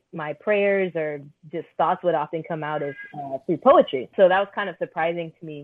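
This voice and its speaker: A woman with a plain, everyday voice speaks at a moderate pace in a fairly low pitch. Her intonation is fairly even, with an American accent. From Orlando, Florida. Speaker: spoken word poet and author. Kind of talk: interview.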